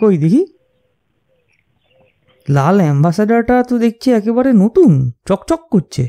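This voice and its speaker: At a moderate pace, a man performs a put-on character voice pitched high. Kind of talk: audio drama dialogue.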